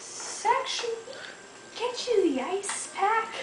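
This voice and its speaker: A woman uses a put-on character voice at a very slow pace. There is a slight echo and clear background noise. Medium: solo performance.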